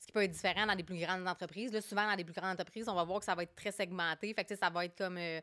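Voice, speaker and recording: Talking at a very fast pace with hardly any pauses, a woman has a bright, sharp tone, monotone, flat intonation and big swings in loudness. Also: medium pitch for a woman. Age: 30s. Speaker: HR director. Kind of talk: podcast interview. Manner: hesitant, many fillers.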